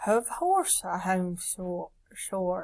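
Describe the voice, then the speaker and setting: A female-sounding, put-on character voice comes through at a medium pitch. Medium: read story. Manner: grunting, clipped odd sounds.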